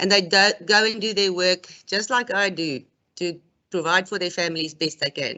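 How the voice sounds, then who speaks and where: At a moderate pace, a woman with a non-native accent speaks at a fairly low pitch with ordinary pitch variation. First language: not English. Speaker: gas installer and plumber. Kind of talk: prepared speech read aloud. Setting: webinar.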